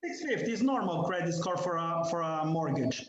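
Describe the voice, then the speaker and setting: Audible room echo surrounds a man with a non-native accent whose voice makes very wide pitch swings. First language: not English. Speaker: condo owner. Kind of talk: heated debate.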